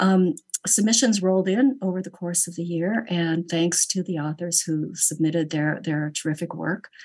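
A woman with a plain, everyday voice speaks at a fairly low pitch. Her pace is moderate and her pitch varies in an ordinary way. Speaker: journal editor. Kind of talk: roundtable discussion. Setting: video call.

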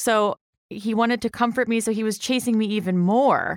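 With a plain, everyday voice, a woman in an American accent speaks at a moderate pace and fairly high pitch, her sound dry and close with no echo on a very clean recording with a silent background. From Delaware County, Pennsylvania. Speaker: litigant. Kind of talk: casual chat.

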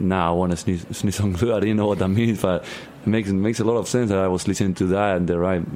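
A man talks in a very deep, low pitch with ordinary pitch variation. Noticeable background noise can be heard. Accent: Argentine. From Argentina. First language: Spanish. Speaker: rock musician. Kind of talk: interview. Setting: studio.

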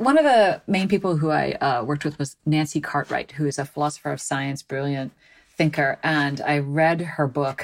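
In a very clean recording with a silent background, a woman with an American accent talks at a moderate pace in a very deep, low voice, her pitch varying in an ordinary way. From US Midwest, Chicago suburbs. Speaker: philosophy professor. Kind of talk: interview conversation.

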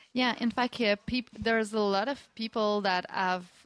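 A woman with a French accent and ordinary pitch variation. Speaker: communications director at a community hub. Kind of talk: live radio interview.

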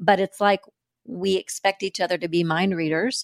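Her medium-pitched voice, a normal speaking voice with ordinary pitch variation, sounds dry and close with no echo as this woman speaks. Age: 50s. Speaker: podcast host, leadership development director. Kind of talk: podcast interview.

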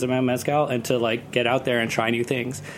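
Over noticeable background noise, a man speaks at a fairly quick pace with monotone, flat intonation. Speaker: cocktail event producer and festival organizer. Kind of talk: casual chat. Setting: studio. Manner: loud.

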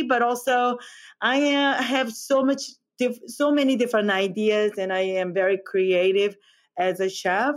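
A woman speaks very slowly with a Korean accent. Her pitch is fairly high, with ordinary pitch variation. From South Korea, Seoul. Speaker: chef. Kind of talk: interview. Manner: halting.

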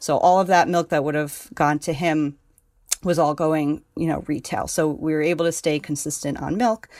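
A woman speaks with an American accent in a very deep, low voice. The recording is very clean, with a silent background. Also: fairly even intonation, moderate pace. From New York, Hudson Valley. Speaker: farmer. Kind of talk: interview.

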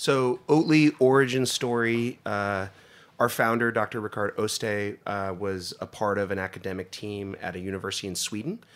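A man with an American accent speaks at a moderate pace in a plain, everyday voice, his pitch fairly low with ordinary variation. The recording is very clean, with a silent background. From US, northeast Pennsylvania. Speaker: food company executive. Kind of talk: interview conversation.

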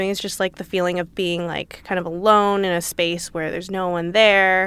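On a very clean recording with a silent background, a woman speaks in a Californian accent. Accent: Californian American. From Los Angeles. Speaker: litigant, defendant. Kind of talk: casual chat.

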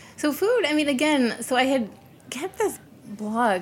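Here is a woman with an American accent. Her pitch variation is ordinary. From US Midwest (Chicago area). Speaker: former intelligence analyst. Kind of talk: casual interview.

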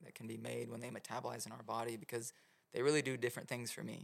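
A man speaks very fast in a medium pitch with vocal fry. His intonation is monotone and flat. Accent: American. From Oklahoma City. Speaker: mushroom grow supplier and educator. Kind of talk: casual interview chat.

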